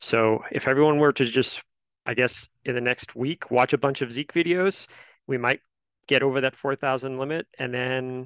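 A man speaks with fairly even intonation, the sound dry with no echo against a quiet background. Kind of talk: meeting update. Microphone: headset.

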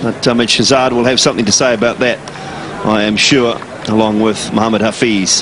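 A man's medium-pitched, monotone, flat voice at a fairly quick pace and very even loudness, over noticeable background noise. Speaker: cricket commentator. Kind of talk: live sports commentary. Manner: fluent and knowledgeable.

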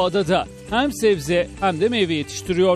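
Music plays behind a man whose intonation is lively and whose pace is moderate. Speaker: news reporter. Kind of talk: TV news report narration.

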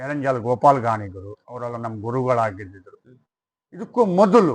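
Against a quiet background, a man with a plain, everyday voice talks at a medium pitch with ordinary pitch variation. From coastal Karnataka, Udupi district (Maravanthe). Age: 50s. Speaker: yakshagana singer. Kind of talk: interview.

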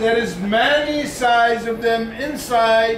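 With an extremely high pitch, a man speaks at a very slow pace in fairly even intonation, with audible room echo and light background noise. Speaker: glass shop salesman. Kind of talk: sales talk to tour group. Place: shop. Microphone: camera far.

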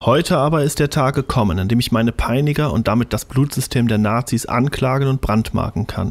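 A man speaks at a fairly quick pace in a medium pitch, with ordinary pitch variation, very even loudness, hardly any pauses and a quiet background. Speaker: amateur audiobook narrator. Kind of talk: audiobook reading. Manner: fast, mumbling. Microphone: studio mic.

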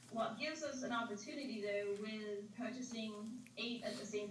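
Light background noise and audible room echo surround a woman speaking with fairly even intonation. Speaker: presenter. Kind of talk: briefing answer to board questions. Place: hall.

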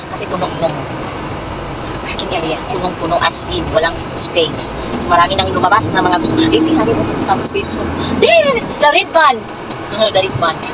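Loud background noise surrounds a woman who speaks with long, frequent pauses. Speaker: vlogger. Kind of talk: casual vlog chat. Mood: cheerful, excited about lights. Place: car. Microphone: phone near.

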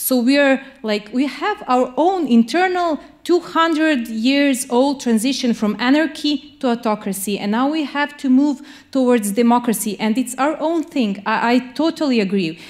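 With a Serbian accent, a woman with a high pitch speaks at a fairly slow pace with lively intonation against a quiet background. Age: 30s. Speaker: lawyer and human rights activist; lawyer. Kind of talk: panel discussion. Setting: stage with audience. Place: hall. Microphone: handheld.

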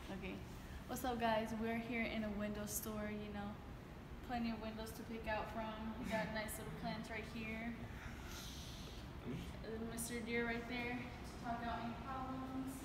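A woman with long, frequent pauses, over loud background noise and audible room echo. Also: fairly slow pace. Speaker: vlogger. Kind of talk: casual vlog chat. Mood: playful, joking. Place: hall. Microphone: phone near.

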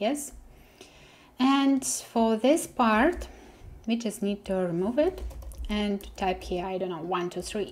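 Lively intonation in a Russian accent, somewhat breathy and fairly slow, with long, frequent pauses. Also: woman. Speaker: web developer tutor. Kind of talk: coding tutorial. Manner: hesitant, with many fillers. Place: home room.

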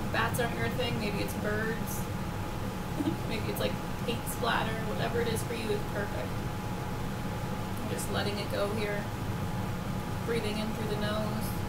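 A woman speaks with long, frequent pauses over loud background noise. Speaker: meditation guide. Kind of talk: guided meditation. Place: home room.

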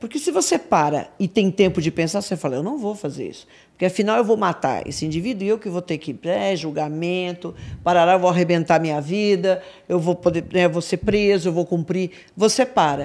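This woman speaks at a fairly quick pace. Her pitch varies in an ordinary way. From Brazil, São Paulo. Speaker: crime analyst. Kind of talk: casual chat. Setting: studio. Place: studio. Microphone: studio mic.

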